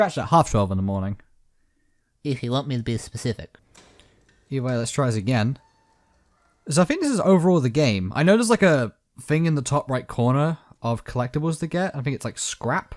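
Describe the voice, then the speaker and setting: Quiet and dry, the close recording has no echo as a man talks at a fairly high pitch with lively intonation. He moves at a fairly quick pace yet leaves long, frequent pauses. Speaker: gaming youtuber. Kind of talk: let's play commentary.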